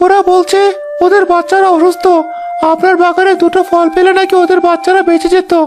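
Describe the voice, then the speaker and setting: A cartoonish character voice at an extremely high pitch speaks at a moderate pace over faint music in the background. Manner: deferential.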